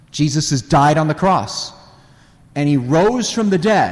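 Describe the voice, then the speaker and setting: Here a man speaks with an American accent at a fairly slow pace, his pitch swinging very widely. Audible room echo surrounds the voice. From US Midwest, Northwest Indiana near Chicago. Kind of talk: parish talk to a live audience. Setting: church with audience.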